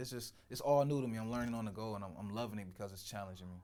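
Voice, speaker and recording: With an American accent, a man speaks in a fairly low pitch with fairly even intonation. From US Midwest, Cleveland, Ohio. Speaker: athlete. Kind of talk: interview testimony.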